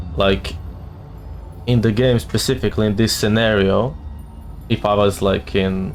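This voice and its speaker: Music plays behind a man who speaks at a fairly low pitch with ordinary pitch variation. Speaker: gaming streamer. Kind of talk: let's play commentary. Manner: mumbling at times.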